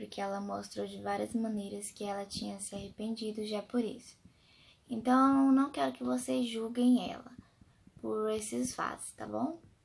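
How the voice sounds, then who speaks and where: Soft-spoken, a woman talks at a fairly slow pace. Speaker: vlogger, mother. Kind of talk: personal storytelling vlog. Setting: at home at night. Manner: soft-spoken, speaking quietly.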